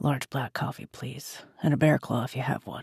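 Gruff put-on character voice from a man at medium pitch, moderate pace, in a dry, close sound with no echo. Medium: read story. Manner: terse, grunting.

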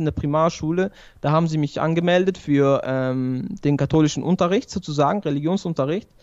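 A man speaks at a fairly quick pace in a high pitch. The background is quiet. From Switzerland, Basel. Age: 20s. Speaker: barber and convert to Islam; guest. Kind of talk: interview, personal testimony. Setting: remote video call. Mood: calm, reflective. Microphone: good audio equipment; studio mic.

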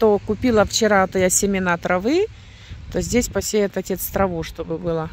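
A woman speaks at a moderate pace with ordinary pitch variation. The sound is dry with no echo, and there is light background noise. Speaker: rural homestead vlogger. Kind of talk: casual vlog chat. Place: open country. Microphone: phone near.

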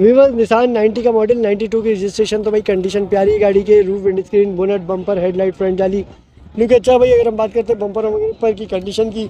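A man talks at a fast pace with a high pitch. His tone is dark and mellow, and his pitch variation is ordinary.

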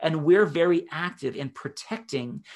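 A man with an American accent, lively intonation and a moderate pace against a quiet background. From Massachusetts. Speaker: health scientist and entrepreneur; presenter. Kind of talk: webinar presentation; live Q&A. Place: home room. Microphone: webcam.

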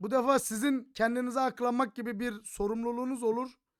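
A man speaks at an extremely high pitch in an animated tone. His pace is moderate. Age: 30s. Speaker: gaming streamer. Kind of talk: commentary video rant. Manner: laughing often.

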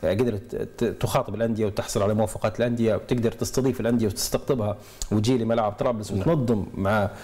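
The man's intonation stays fairly even. He talks at a fairly quick pace. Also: very even loudness. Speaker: studio guest or commentator. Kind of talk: interview answer. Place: studio. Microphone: lapel.

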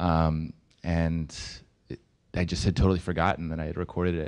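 Monotone, flat intonation carries speech at a fairly quick pace. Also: man. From Baltimore. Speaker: filmmaker. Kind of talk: panel discussion. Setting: stage with audience. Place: stage. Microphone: handheld.

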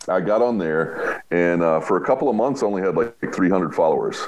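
With an American accent, this man talks at a moderate pace in a very deep, low voice, with ordinary pitch variation and very even loudness. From United States. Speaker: roofer and public adjuster; podcast guest. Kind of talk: casual interview. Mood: warm, relaxed, storytelling. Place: home room. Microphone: video call.

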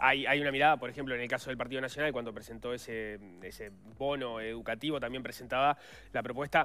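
A man speaks at medium pitch in a Rioplatense accent. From Uruguay. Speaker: radio host. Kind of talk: interview. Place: studio. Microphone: lapel.

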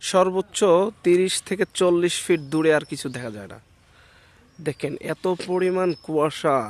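A man with a high voice and ordinary pitch variation shows big swings in loudness, recorded dry and close with no echo on a very clean recording with a silent background. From northern Bangladesh, Nilphamari. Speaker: YouTuber vlogger. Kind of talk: outdoor vlog narration. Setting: outdoors in village fields.

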